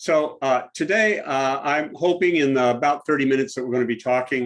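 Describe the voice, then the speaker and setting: A man with an American accent has a plain, everyday voice at medium pitch with ordinary pitch variation. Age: 60s. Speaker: diversity trainer. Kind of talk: presentation.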